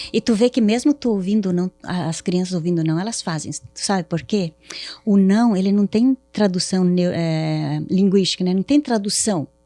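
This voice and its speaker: A woman's medium-pitched voice with a southern Brazilian accent, moderate pace, ordinary pitch variation, dry, close sound with no echo, and music in the background. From southern Brazil, Paraná. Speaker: therapist. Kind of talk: podcast interview.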